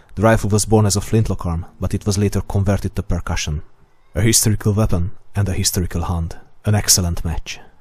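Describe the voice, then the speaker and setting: A man's somewhat breathy, dark, mellow voice at a fairly low pitch, very fast pace and fairly even intonation. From Hungary. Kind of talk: scripted narration.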